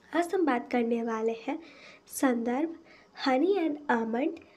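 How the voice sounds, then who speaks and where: Her pitch sits high for a woman, with ordinary pitch variation. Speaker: beauty product reviewer. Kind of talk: product review.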